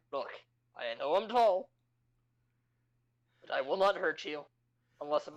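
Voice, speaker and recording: In a put-on character voice at a middle pitch, the speaker goes at a moderate pace with long, frequent pauses. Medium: actual play. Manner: blunt, mischievous.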